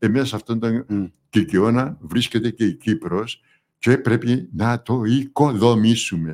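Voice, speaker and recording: On a very clean recording with a silent background, a man talks at a very slow pace with ordinary pitch variation. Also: medium pitch for a man. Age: 80s. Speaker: retired dentist and veteran politician. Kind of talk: interview. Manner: halting.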